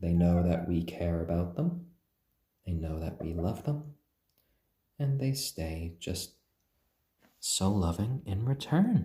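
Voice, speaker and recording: A man speaks very slowly in a very deep, low voice, dark, mellow, gentle and calm, and somewhat breathy. His intonation is lively, broken by long, frequent pauses. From Japan, British parents. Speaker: chicken live streamer. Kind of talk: casual live stream chat. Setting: live stream at home. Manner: halting, many fillers; gentle, calm.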